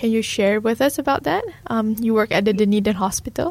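At a moderate pace, a woman uses a normal speaking voice pitched fairly high. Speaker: radio host. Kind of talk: scripted narration. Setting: studio.

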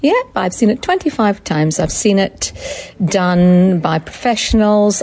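In a Scottish accent, a woman speaks at a fairly slow pace. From Scotland. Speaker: theatre director. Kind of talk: interview.

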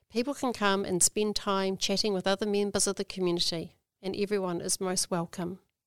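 A woman with a New Zealand accent speaks at a fairly quick pace, with a medium pitch and fairly even intonation. The recording is very clean, with a silent background and a dry, close sound with no echo. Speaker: library team leader. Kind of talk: prepared talk.

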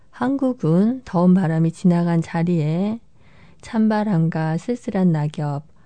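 A woman's calm, dark, mellow voice, fairly low in pitch, at a very slow pace. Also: quiet background. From South Korea. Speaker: radio DJ. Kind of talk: radio presenting. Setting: studio.

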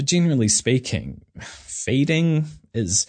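A man speaks very slowly with a New Zealand accent, his somewhat breathy voice swinging very widely in pitch. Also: quiet background. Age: 30s. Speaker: podcast host. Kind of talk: personal reflective monologue.

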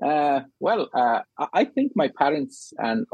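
Very wide pitch swings mark a man's fairly high voice. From Afghanistan, raised in refugee camp in Pakistan. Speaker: psychology researcher. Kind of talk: radio interview. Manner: halting, many fillers.

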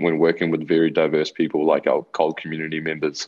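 A man talks with a New Zealand accent. His pace is very fast. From Chile, raised in New Zealand. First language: Spanish. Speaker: youth mentor and cultural bridging facilitator. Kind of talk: radio interview. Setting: video call.

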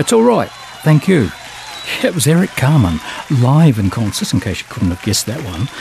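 A man with a New Zealand accent at medium pitch, relaxed and warm in tone, with very wide pitch swings, a moderate pace, long, frequent pauses and noticeable background noise. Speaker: radio host. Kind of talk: radio DJ patter between songs. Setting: radio studio. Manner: chatty, rambling, quirky and playful, with hesitations and self-amused asides; relaxed, conversational and jokey, with a warm, whimsical tone.

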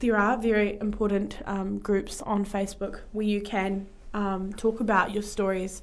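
In a New Zealand accent, a woman speaks at a moderate pace and medium pitch with monotone, flat intonation. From Taranaki, New Zealand. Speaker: guest. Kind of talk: casual radio interview. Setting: studio.

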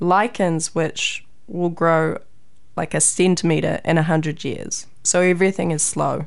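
At a fairly slow pace, a woman talks with a New Zealand accent. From New Zealand, Raglan. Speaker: PhD student and scientist. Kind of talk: interview.

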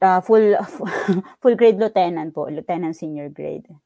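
Moderately paced with ordinary pitch variation, this is an ordinary speaking voice. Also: woman. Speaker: data manager at a research agency. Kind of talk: interview.

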